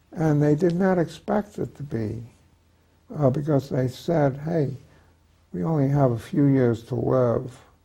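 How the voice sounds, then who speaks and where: The voice is somewhat breathy, with a dark, mellow tone and ordinary pitch variation. It moves at a fairly slow pace with long, frequent pauses. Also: man, fairly high pitch for a man. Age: 90s. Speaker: retired psychiatrist and author. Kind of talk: interview. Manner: halting, many hesitations.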